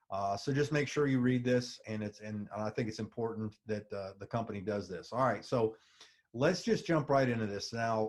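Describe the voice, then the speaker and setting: Ordinary pitch variation marks this man's medium-pitched voice. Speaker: network marketing presenter. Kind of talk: sales pitch. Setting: webinar. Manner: fast.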